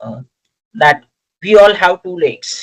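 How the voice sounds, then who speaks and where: This speaker, with a Gujarati accent, talks at a fairly slow pace. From India, Gujarat. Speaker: lecturer. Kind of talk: lecture. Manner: hesitant with many fillers.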